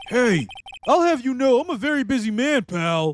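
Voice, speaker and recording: Gruff, strained put-on character voice at a fairly high pitch, with very wide pitch swings and a moderate pace. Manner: brusque, gruff.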